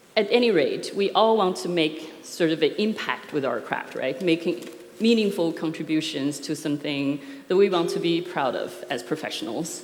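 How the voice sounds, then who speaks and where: With lively intonation and a fairly low pitch, a woman speaks at a moderate pace amid noticeable background noise and audible room echo. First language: not English. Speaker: software architecture consultant. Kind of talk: conference talk. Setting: stage with audience. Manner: hesitant, many fillers.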